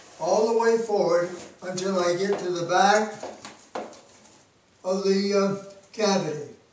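Amid light background noise and audible room echo, a man with a high pitch speaks fairly slowly with fairly even intonation and long, frequent pauses. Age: 80s+. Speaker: physics professor. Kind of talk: product demonstration. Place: home room. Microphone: camera far.

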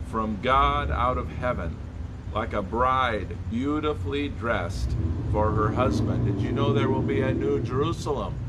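The speech moves at a fairly slow pace. Loud background noise is present. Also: man. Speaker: church pastor. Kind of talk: devotional sermon. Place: street. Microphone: phone near.

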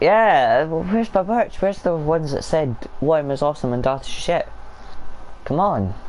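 Over light background noise, a man with a Scottish accent speaks with lively intonation. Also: fairly high pitch for a man, moderate pace. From Scotland. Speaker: gaming streamer. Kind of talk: casual gaming chat. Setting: online voice chat.

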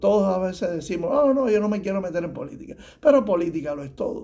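A dark, mellow tone marks the man's voice. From Cuba. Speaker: tax preparer; guest. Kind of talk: advice talk to camera. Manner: halting, many fillers. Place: office. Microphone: phone near.

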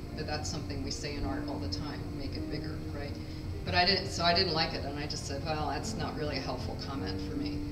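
Through loud background noise, a woman talks at a fairly quick pace. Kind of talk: gallery talk. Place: hall.

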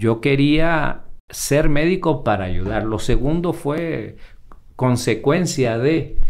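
A man speaks at a very slow pace with a fairly high pitch and vocal fry. Audible echo fills the room. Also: lively intonation. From Honduras, La Esperanza. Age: 50s. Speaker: emergency doctor. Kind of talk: casual interview chat. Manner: halting, many repetitions.

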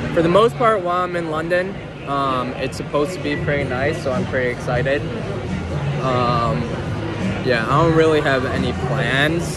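Over clear background music, a man speaks at a moderate pace with ordinary pitch variation and long, frequent pauses, the sound dry with no echo. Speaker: vlogger. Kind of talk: casual vlog chat. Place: market.

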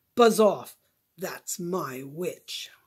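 This is a put-on character voice, growling and croaky. It sits at a middle pitch. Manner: menacing.

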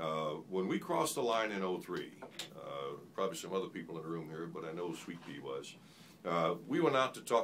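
Beneath light background noise, a man with a very deep, low pitch speaks at a moderate pace, his pitch swinging very widely. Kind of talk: answer to a question at a forum. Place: meeting room.

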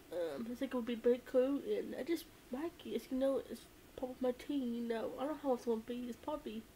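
Over light background noise, a woman speaks very fast at a high pitch. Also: lively intonation. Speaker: vlogger. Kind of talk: casual vlog chat. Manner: drowsy late-night talk from bed. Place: home room. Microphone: webcam.

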